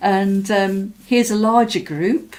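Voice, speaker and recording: A woman speaks with an English Midlands accent. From English Midlands, Mansfield. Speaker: artist from Latvian community. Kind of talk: interview, personal recollection. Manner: hesitant, many fillers.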